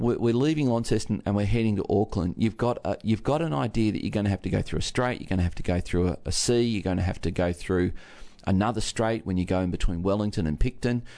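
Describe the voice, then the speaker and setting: Against a quiet background, a man with a fairly low pitch and a dark, mellow tone speaks at a fairly quick pace. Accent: Australian. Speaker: pastor. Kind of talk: radio talk segment.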